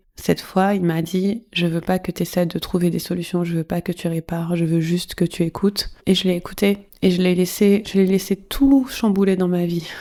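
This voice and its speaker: A woman's medium-pitched, dark, mellow voice at a moderate pace with hardly any pauses and big swings in loudness. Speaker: sex coach and podcast host. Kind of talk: personal monologue podcast. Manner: casual, conversational with fillers.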